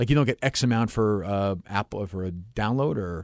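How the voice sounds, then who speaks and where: A man's normal speaking voice, fairly low in pitch and fairly quick in pace, in a very clean recording with a silent background and a dry, close sound with no echo. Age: 40s. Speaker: podcast host. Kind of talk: casual interview chat; host-read ad.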